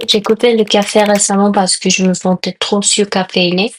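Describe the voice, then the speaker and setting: A woman's medium-pitched voice with a Korean accent, monotone and flat in intonation, recorded dry and close with no echo. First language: Korean (speaking French). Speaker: lifestyle vlogger and food content creator. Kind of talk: vlog voiceover. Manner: halting non-native phrasing.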